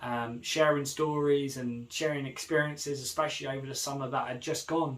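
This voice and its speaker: Fairly quick speech amid noticeable background noise. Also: man, fairly high pitch for a man. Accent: British. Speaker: vlogger. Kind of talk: casual vlog monologue. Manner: fast; animated.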